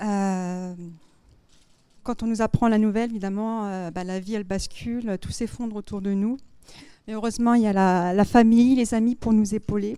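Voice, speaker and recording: A woman speaks at a moderate pace with a fairly high pitch and a dark, mellow tone, her intonation fairly even. Long pauses come often, and the recording is very clean with a silent background. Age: 30s. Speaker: cancer survivor. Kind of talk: testimony.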